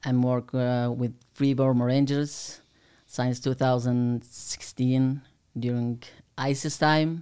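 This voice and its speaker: Speaking in a Kurdish accent, a man has a dark, mellow tone and a medium pitch. His delivery is very slow, with monotone, flat intonation. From Kurdistan, Iraq. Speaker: Kurdish aid worker and former volunteer fighter. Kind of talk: casual interview chat. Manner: halting, non-native English.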